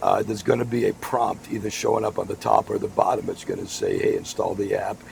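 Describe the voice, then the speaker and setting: In an American accent, a man speaks at a fairly quick pace against noticeable background noise. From Massachusetts, Boston area. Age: 60s. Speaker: podcast host, former radio broadcaster. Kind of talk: casual chat.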